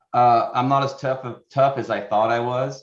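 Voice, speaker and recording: A man with an American accent, a medium pitch and a fairly quick pace. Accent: Wisconsin-like. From Oregon. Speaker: hunter, award finalist. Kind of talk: interview.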